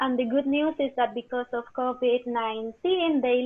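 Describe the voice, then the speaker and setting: A woman's high voice with a Spanish accent, ordinary pitch variation and a moderate pace. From Spain. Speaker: teacher. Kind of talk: interview.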